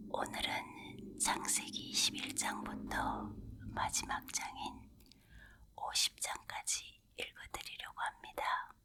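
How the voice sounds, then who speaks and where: Noticeable background noise runs beneath someone whispering at a very slow pace. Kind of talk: opening introduction and prayer. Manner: whispered, soft.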